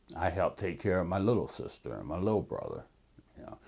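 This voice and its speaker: Using an American accent, a man talks at a fairly low pitch with vocal fry. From Cleveland, Ohio. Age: 60s. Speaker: interviewee, army veteran, community researcher. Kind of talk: oral history interview. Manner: halting, with fillers.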